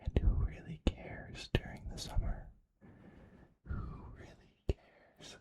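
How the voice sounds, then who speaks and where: A man whispers at a fairly slow pace, with long, frequent pauses and big swings in loudness. The sound is dry and close, with no echo. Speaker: ASMR creator. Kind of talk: ASMR whisper ramble, casual life update. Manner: whispered, soft, slow.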